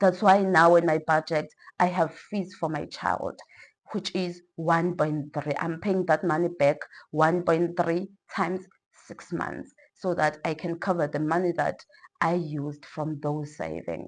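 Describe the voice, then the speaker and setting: Over a quiet background, a woman with a fairly low pitch talks at a fairly slow pace in a monotone, flat intonation. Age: 30s. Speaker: teacher and personal finance vlogger. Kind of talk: casual vlog explaining personal budget.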